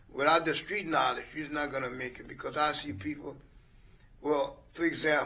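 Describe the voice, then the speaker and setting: A man with a fairly high pitch and a bright, sharp tone speaks at a moderate pace, showing vocal fry, ordinary pitch variation and big swings in loudness. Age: 70s. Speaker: retired business owner. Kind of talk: casual chat.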